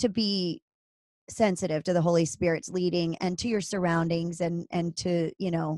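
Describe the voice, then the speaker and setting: The woman's fairly low voice comes at a moderate pace in a flat monotone. The very clean recording has a silent background and a dry, close sound with no echo. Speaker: podcast host. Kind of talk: casual interview conversation.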